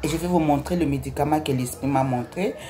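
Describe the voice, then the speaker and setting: A woman with a Congolese accent and a very deep, low pitch, ordinary pitch variation, noticeable background noise. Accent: non-native French, Congolese. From DR Congo, Kinshasa. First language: Lingala (speaking French). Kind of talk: religious testimony. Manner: halting.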